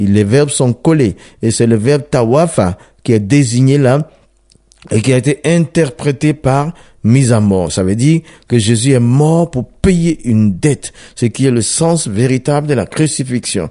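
This man's voice has a dark, mellow tone at a medium pitch. His intonation is lively. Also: very even loudness. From Ivory Coast. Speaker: pastor. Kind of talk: testimony.

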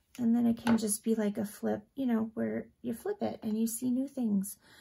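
A woman speaks with fairly even intonation. Noticeable background noise is present. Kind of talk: casual crafting tutorial chat. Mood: relaxed, cheerful. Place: home room.

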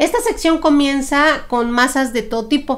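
A woman speaks at a fairly slow pace. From Mexico. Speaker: podcast co-host, cook; podcast co-host. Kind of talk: casual chat about historical recipes. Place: home room. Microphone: studio mic.

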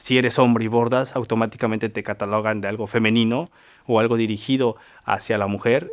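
A man speaks with a central Mexican accent at a fairly quick pace. His intonation is fairly even, and the background is quiet. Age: 20s. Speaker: folk artist and embroiderer. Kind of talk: personal testimony. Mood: calm, earnest. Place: studio.

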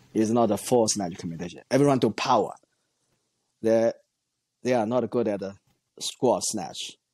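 With a Chinese accent, a man speaks at a moderate pace in a dark, mellow tone, with ordinary pitch variation and long, frequent pauses. The sound is dry with no echo, and the background is quiet. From China. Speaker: weightlifting coach and former Olympian; weightlifting coach guest. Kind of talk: interview. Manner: halting, with frequent fillers. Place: home room. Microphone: earbuds.

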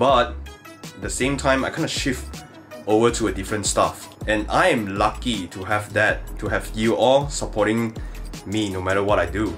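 A man's fairly low voice with faint music in the background. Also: moderate pace. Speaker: content creator. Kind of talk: casual vlog chat. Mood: reflective then upbeat. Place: home room. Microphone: phone near.

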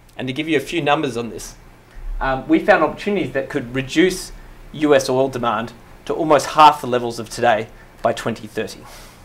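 A fairly high-pitched man with an Australian accent, a fairly quick pace, ordinary pitch variation and big swings in loudness. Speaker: management consultant; presenter. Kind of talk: slide presentation. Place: hall.

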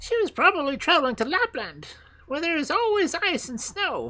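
A woman's put-on character voice, high-pitched, bright and sharp in tone, with very wide pitch swings. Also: moderate pace.

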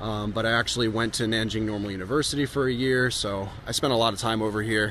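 A man with an ordinary speaking voice, moderate pace and fairly even intonation, in a dry sound with no echo and light background noise. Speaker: travel vlogger. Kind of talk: casual vlog chat. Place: street. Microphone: phone near.

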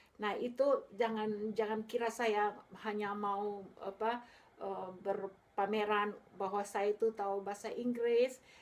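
Very slowly, a woman speaks in a monotone, flat intonation. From Makassar, Indonesia, then England from age 13. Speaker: vlogger. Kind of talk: vlog monologue. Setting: home video recording. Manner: halting, many fillers. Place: home room. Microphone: phone near.

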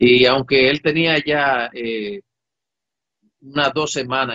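Against a quiet background, a man's voice comes through with a dry sound and no echo. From Dominican Republic. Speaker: air force commander. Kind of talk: interview. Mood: reflective, emotional personal memories. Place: office. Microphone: webcam.

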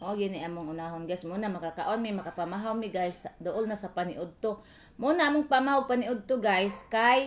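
Here a woman speaks at a fairly quick pace. Her medium-pitched voice has lively intonation. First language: Cebuano (speaking Tagalog). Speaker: vlogger. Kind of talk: casual home vlog narration.

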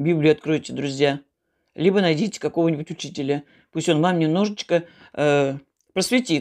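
A woman speaks at a moderate pace with a very deep, low pitch and ordinary pitch variation. Her loudness stays very even over a quiet background. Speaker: home vlogger. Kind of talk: casual vlog chat on religion, preachy. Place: home room. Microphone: phone near.

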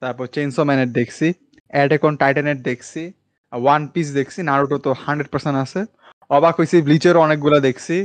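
A man speaks against a quiet background. The sound is dry with no echo. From Bangladesh. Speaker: anime podcast host. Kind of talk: casual chat. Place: home room. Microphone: studio mic.

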